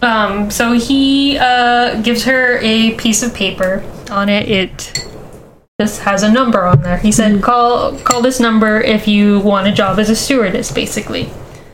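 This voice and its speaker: Amid audible room echo and music in the background, a woman speaks at a moderate pace with a fairly high pitch and fairly even intonation. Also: very even loudness. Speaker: podcast co-host. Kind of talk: casual storytelling chat.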